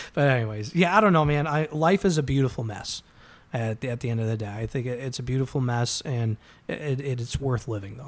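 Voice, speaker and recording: A man's normal speaking voice, medium in pitch with ordinary pitch variation, at a fairly quick pace in a very clean recording with a silent background. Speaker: restoration company worker and father. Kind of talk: casual chat.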